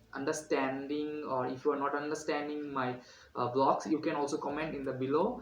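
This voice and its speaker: A man's fairly high voice at a moderate pace, with noticeable background noise and audible room echo. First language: Bengali. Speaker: student vlogger. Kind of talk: vlog tutorial. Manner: halting with many fillers.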